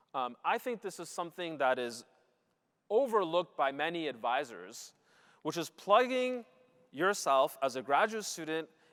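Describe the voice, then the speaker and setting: A loud man at a fairly high pitch with very wide pitch swings and a moderate pace, in a very clean recording with a silent background. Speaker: mathematician giving a talk to students. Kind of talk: lecture. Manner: frequent filler um.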